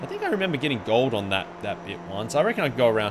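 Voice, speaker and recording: A man with an Australian accent at a fairly quick pace, amid noticeable background noise. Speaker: video game streamer. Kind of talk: live gameplay commentary. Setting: live stream. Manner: casual, halting with self-corrections.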